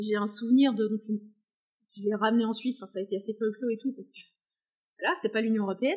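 The voice belongs to a woman with a fairly high pitch. It sounds somewhat breathy. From France, countryside. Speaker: equine behaviourist and horse owner. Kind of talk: casual interview chat.

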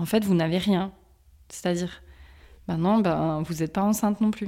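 This woman talks fairly low for a woman, her pitch moving in an ordinary way, on a very clean recording with a silent background. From eastern France, Strasbourg. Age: 30s. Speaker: endometriosis patient, HR manager. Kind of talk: testimony. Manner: halting, many fillers.

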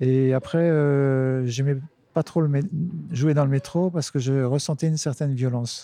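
Speaking at a fairly slow pace, a man has a dark, mellow tone, medium pitch and fairly even intonation. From Lorraine, France (Nancy suburbs). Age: 50s. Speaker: street musician, harmonica player. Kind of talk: interview conversation. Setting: outdoors on a bench. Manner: hesitant, many fillers.

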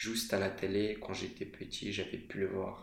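A man with a fairly low pitch talks at a fairly slow pace in a monotone, flat way, with audible room echo. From Moldova. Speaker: student podcaster. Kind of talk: scripted monologue.

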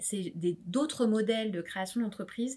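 A woman talks at a moderate pace and medium pitch, her voice somewhat breathy. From France, suburban housing estate, family from Réunion. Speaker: startup founder and startup advisor. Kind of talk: interview.

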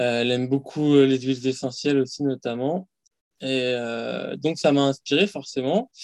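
Delivered in a normal speaking voice, the speech moves at a fairly slow pace with fairly even intonation. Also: man, medium pitch for a man. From Paris suburbs, France. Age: 30s. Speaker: fasting practitioner. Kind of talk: casual interview.

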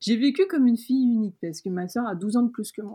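A woman's somewhat breathy voice, dark and mellow in tone, at a moderate pace with ordinary pitch variation. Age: 30s. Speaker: illustrator. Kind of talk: interview. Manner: hesitant, many fillers.

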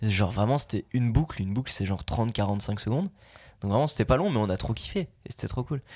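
On a very clean recording with a silent background, a somewhat breathy man at a medium pitch talks at a very fast pace with lively intonation. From Belgium. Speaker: voice actor. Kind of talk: casual chat.

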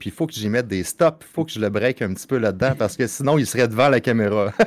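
A man with a Quebec accent speaks at a fairly quick pace and medium pitch, with ordinary pitch variation, in a dry, close recording with no echo. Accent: Québécois French. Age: 30s. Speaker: streamer and father. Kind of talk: casual chat.

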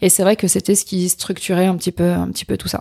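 At a very fast pace, a woman speaks in a dry, close sound with no echo. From central France (Berry, Châteauroux). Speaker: coach and speaker on neurodiversity. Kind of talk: interview, personal life story.

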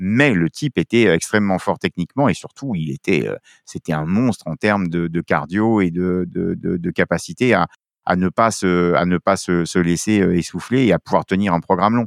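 A man's very deep, low pitch with ordinary variation, dry and close with no echo against a quiet background. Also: moderate pace. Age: 50s. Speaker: film school director, former roller sport official. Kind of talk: interview. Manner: animated.

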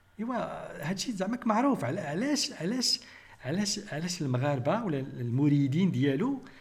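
A man with a Moroccan accent speaks at a moderate pace in a high voice with very wide pitch swings, and room echo is audible. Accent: Moroccan Arabic (Darija). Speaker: biochemist and YouTube commentator. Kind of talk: critical commentary monologue.

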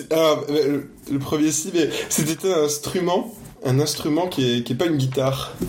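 A man at a fairly high pitch with ordinary pitch variation, fairly slow pace and very even loudness, over noticeable background noise. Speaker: podcast host. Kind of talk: casual interview.

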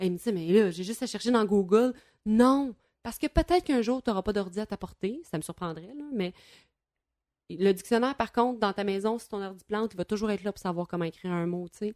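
A woman with a Quebec accent speaks at a fairly quick pace and a medium pitch, with ordinary pitch variation, big swings in loudness and long, frequent pauses. The sound is dry and close with no echo, in a very clean recording with a silent background. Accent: Québécois French. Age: 30s. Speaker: former teacher and radio columnist. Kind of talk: casual chat.

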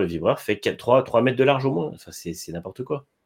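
Recorded very cleanly against a silent background, a man with a medium-pitched voice talks at a very fast pace with very wide pitch swings. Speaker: motorsport podcast co-host. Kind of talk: casual chat.

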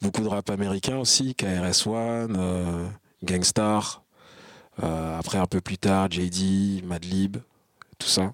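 A man speaks at a very deep, low pitch with fairly even intonation, in a dry, close sound with no echo. His pace is very slow, with long, frequent pauses. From France, Val-d'Oise (Paris suburbs). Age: 30s. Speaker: rapper. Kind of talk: interview. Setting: concert venue. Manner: halting.

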